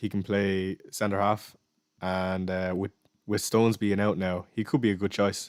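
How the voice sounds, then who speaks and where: In an Irish accent, a man speaks with a fairly low pitch and fairly even intonation on a very clean recording with a silent background. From Ireland. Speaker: fantasy football streamer. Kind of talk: live stream Q&A. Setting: live stream. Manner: fast.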